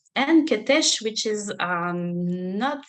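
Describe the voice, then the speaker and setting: This woman talks with a French accent. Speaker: religion scholar. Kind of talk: lecture. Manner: halting, many fillers.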